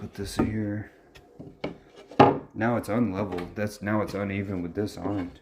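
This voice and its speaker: Amid noticeable background noise, a man with a fairly low voice speaks at a fairly slow pace in a monotone, flat intonation, with long, frequent pauses and big swings in loudness. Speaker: DIY video maker. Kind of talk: casual DIY narration.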